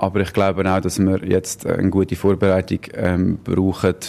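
A man is speaking. His pitch is very deep and low. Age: 30s. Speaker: professional footballer. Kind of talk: interview.

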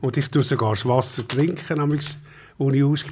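This man's voice is somewhat breathy. Its pitch sits in the medium range. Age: old. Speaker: wine expert. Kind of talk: casual chat.

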